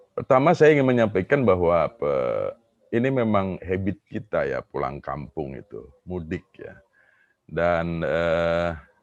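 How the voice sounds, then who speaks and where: A man with an Indonesian accent speaks at a moderate pace, the sound dry and close with no echo against a quiet background. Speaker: professor. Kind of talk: conference Q&A answer. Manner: halting, many fillers.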